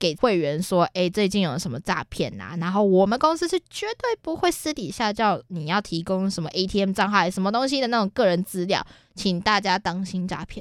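In a Taiwanese accent, the speaker uses lively intonation at a moderate pace with hardly any pauses, on a very clean recording with a silent background and a dry, close sound with no echo. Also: woman, medium pitch for a woman. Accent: Taiwanese Mandarin. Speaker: podcast co-host. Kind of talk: casual chat.

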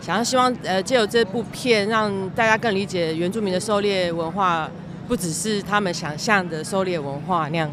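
A woman talks at a medium pitch with ordinary pitch variation. Noticeable background noise sits behind her. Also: moderate pace. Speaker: documentary director. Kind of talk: casual interview. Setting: outdoors in Times Square. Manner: halting.

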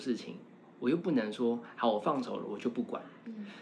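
A man with a Taiwanese accent talks with very wide swings in pitch. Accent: Taiwanese Mandarin. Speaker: university lecturer and fashion stylist. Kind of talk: casual chat. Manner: animated.

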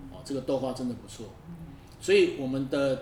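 A man with a fairly high voice speaks over noticeable background noise, with audible echo in the room. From northern Taiwan. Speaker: podcast host. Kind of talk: casual interview chat.

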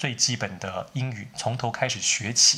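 A man talks at a moderate pace in a medium pitch. His tone is bright and sharp. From Taiwan. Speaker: writer teaching English. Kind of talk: solo tutorial talk.

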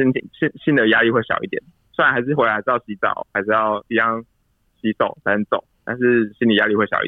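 A man at a very fast pace, medium pitch, and fairly even intonation. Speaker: emergency doctor. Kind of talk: interview.

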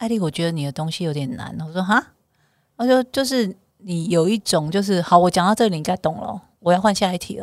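Very fast speech in a Taiwanese accent, with lively intonation and big swings in loudness. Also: woman. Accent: Taiwanese Mandarin. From southern Taiwan, Kaohsiung. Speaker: bestselling author and voice-over talent. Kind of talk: casual chat.

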